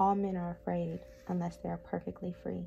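A soft-spoken woman at a moderate pace, with music in the background. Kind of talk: ASMR book reading.

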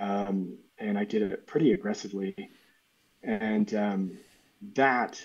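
American accent and fairly even intonation from a male speaker. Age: 30s. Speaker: artist; podcast guest. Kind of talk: casual chat. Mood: calm, thoughtful. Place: home room.

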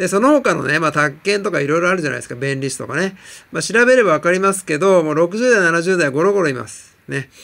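High-pitched male voice at a very fast pace, with lively intonation, big swings in loudness and noticeable background noise. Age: 40s. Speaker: TOEIC coach. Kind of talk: vlog monologue. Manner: hesitant, many fillers.

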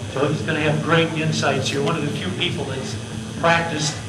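Loud background noise behind a man talking. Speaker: event host. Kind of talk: event introduction. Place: meeting room.

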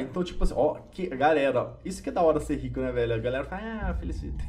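Noticeable noise runs in the background. A man rattles off his words very fast. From Brazil. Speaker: gaming youtuber. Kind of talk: gameplay commentary. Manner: animated. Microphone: headset.

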